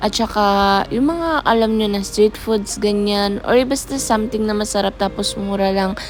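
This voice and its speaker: With music in the background, a woman speaks at a moderate pace in a medium pitch, with ordinary pitch variation and hardly any pauses. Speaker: food vlogger. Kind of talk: casual vlog. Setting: outdoors at night.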